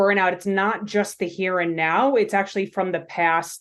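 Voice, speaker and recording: A woman speaks with a Long Island accent against a quiet background. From New York, Long Island. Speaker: pharmacist and coach. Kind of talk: podcast interview.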